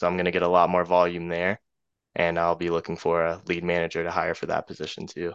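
An American man speaks very fast with a very deep, low pitch and monotone, flat intonation. The background is quiet. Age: 20s. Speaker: real estate wholesaler. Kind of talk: casual interview.

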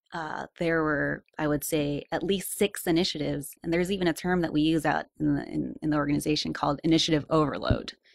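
Hardly pausing, a woman talks at a fairly quick pace. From Philippines, raised in US from age two. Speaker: political candidate. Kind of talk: radio interview.

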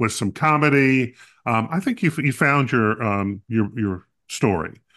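A man's unremarkable speaking voice, medium in pitch, with lively intonation at a moderate pace. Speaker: podcast co-host. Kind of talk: casual chat. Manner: joking, playful.

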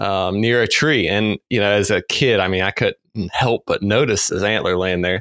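With an ordinary speaking voice, a man talks at a fairly low pitch and moderate pace, with hardly any pauses, very even loudness and fairly even intonation. The sound is dry and close with no echo, in a very clean recording with a silent background. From North Carolina. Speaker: deer biologist. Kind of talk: casual interview.

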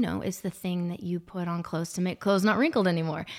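An unremarkable speaking voice, fairly even in intonation, on a very clean recording with a silent background. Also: woman. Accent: American. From Arkansas, then Georgia (US South). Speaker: salesperson and singer. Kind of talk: casual chat, faith testimony.

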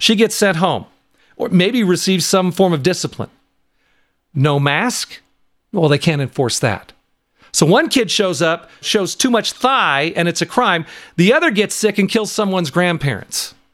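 A man with an American accent and a high pitch, at a moderate pace with lively intonation, very even loudness and long, frequent pauses, in a very clean recording with a silent background. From US West Coast (Washington, California). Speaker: podcast host. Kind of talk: opinion monologue podcast. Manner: casual, animated.

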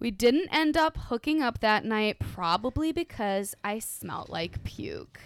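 A woman with an American accent speaks fairly slowly at a fairly high pitch, with hardly any pauses and very wide pitch swings. The sound is dry and close, with no echo. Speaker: guest from another podcast. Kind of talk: casual drunk chat.

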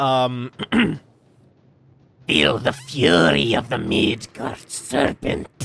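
A man puts on a raspy character voice at medium pitch. He talks very slowly with long, frequent pauses. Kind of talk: dark fantasy villain voice.

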